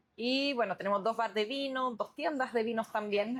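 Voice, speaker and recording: A woman speaks with a French accent. Her pace is moderate and her pitch variation ordinary. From France. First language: French (speaking Spanish). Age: 30s. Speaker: business owner. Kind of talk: interview.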